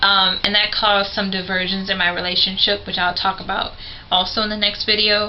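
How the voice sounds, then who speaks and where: A woman speaks at medium pitch with monotone, flat intonation. Noticeable background noise and audible room echo fill the recording. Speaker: vlogger sharing concussion recovery experience. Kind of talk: personal vlog talk to camera. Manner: hesitant with frequent fillers.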